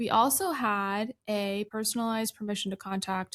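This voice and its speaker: A soft-spoken woman. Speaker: insurance agent. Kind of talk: casual podcast interview.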